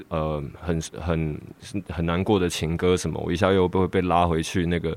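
A man's very deep, low voice with a Taiwanese accent and monotone, flat intonation. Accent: Taiwanese Mandarin. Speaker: rapper. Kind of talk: interview. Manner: halting.

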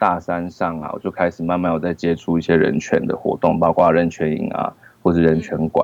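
A man with a very deep, low voice speaks fairly quickly in a flat monotone. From Taiwan, Taoyuan. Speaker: film director. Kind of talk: casual interview. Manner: halting.

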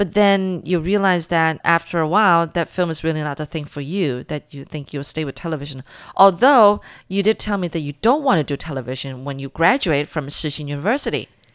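In a plain, everyday voice, a woman talks at a fairly quick pace with fairly low pitch and lively intonation, on a very clean recording with a silent background. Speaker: radio host. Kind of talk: interview. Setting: studio.

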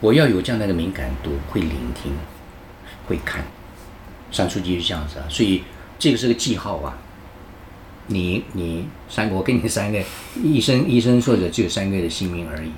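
The voice swings very widely in pitch at a moderate pace, with long, frequent pauses. Audible room echo surrounds it. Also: man, very deep, low pitch for a man. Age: 70s. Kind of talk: interview. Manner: halting, with many fillers.

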